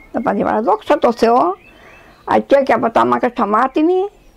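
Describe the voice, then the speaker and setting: A woman talks at a high pitch. Her pace is fairly slow. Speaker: elderly villager, dialect speaker. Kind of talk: oral history interview.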